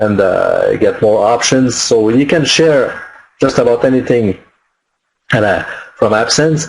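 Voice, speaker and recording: Against a quiet background, a man with a French accent speaks at a very slow pace. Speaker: online marketing webinar presenter; webinar presenter. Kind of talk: webinar tutorial. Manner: halting, many fillers. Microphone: webcam.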